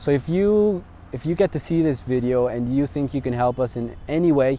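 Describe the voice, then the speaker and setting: A man with an American accent at a moderate pace, over noticeable background noise. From Ecuador and New Jersey. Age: 20s. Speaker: entrepreneur. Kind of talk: casual vlog pitch. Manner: halting, many fillers.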